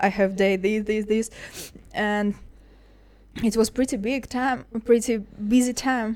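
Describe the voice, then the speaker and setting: With a Russian accent, a woman talks at a very slow pace, leaving long, frequent pauses, her fairly high pitch held in a monotone, flat intonation. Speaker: MMA fighter. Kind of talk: interview. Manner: halting.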